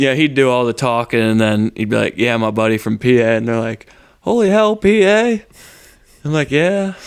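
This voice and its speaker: Very wide swings of pitch in a man's voice of medium pitch. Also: moderate pace. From Pennsylvania, outside eastern PA. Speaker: bullfighter. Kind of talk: casual chat. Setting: garage.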